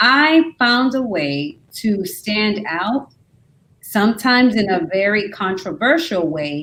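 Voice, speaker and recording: Her pitch sits fairly high for a woman and swings very widely as she talks at a very slow pace. The woman is heard over a quiet background. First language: not English. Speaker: university-level educator. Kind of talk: panel discussion. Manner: animated.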